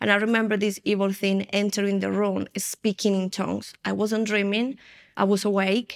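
A woman with a Spanish accent speaks at a moderate pace and medium pitch, her intonation monotone and flat. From Spain. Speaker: former occultist turned prophetic minister. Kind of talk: testimony.

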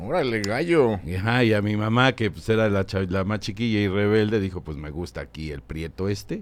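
An ordinary speaking voice from a man, fairly low-pitched, with lively intonation, a moderate pace, hardly any pauses, and a very clean recording with a silent background. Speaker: comedy writer and businessman. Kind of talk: casual interview storytelling. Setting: studio.

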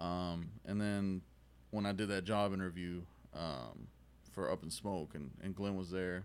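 With an American accent, a man speaks in a very deep, low voice. His pitch variation is ordinary, and he keeps a fairly slow pace. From Texas, Dallas area. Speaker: cigar company sales rep. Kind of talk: casual chat. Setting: cigar shop.

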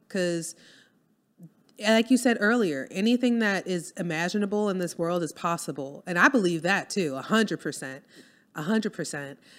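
Lively intonation in a New Orleans accent, on a very clean recording with a silent background. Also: woman, medium pitch for a woman, moderate pace. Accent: New Orleans Southern US. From US South, New Orleans. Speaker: copywriter and business owner. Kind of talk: casual interview chat.

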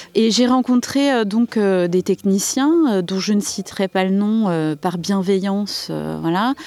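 A woman talking very slowly, with ordinary pitch variation and very even loudness, over noticeable background noise. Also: medium pitch for a woman. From Saint-Denis, Paris region. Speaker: artist, village resident. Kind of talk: interview.

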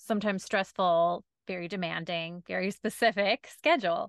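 In a normal speaking voice, a woman talks at a moderate pace and medium pitch with fairly even intonation, the sound dry and close with no echo over a quiet background. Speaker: podcast host, lawyer and business owner. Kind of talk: casual interview chat. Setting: video call.

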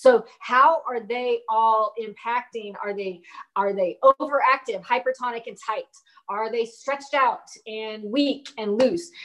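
With a plain, everyday voice, a woman talks at a fairly slow pace in a fairly high pitch, her pitch varying in an ordinary way while her loudness swings widely. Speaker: physical therapist. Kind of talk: interview.

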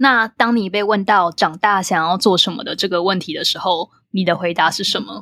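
In a Taiwanese accent and a bright, sharp tone, a woman with a medium pitch speaks at a moderate pace with ordinary pitch variation on a very clean recording with a silent background. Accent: Taiwanese Mandarin. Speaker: podcast host. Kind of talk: interview. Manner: animated.

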